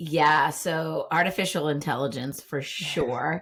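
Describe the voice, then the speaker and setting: A woman with a Boston accent and a very deep, low pitch speaks at a fairly slow pace on a very clean recording with a silent background. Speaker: Instagram marketing coach. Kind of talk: podcast interview. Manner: animated.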